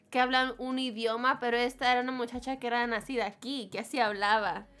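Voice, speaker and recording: Over music in the background, a woman speaks in a high pitch with ordinary pitch variation. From Houston, Texas. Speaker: reggaeton artist. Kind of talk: casual chat.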